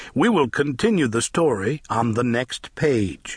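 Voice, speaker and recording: Animated in tone, a man speaks with very wide pitch swings in a dry, close sound with no echo. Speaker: audiobook narrator. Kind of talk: children's read-along storybook reading aloud. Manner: animated, sing-song rhythmic, bouncy; slow, clear, coaxing pace for young listeners.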